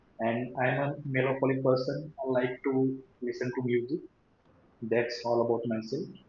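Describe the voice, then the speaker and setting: A man's medium-pitched, flat monotone at a moderate pace, with long, frequent pauses. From Latur, Maharashtra, India. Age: 20s. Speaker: software developer, English practice host. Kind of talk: interview conversation.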